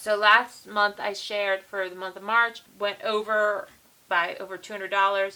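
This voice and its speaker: The voice is quiet, with a bright, sharp tone and an American accent. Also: woman. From US East Coast. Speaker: budgeting vlogger. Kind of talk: casual vlog chat. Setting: home basement.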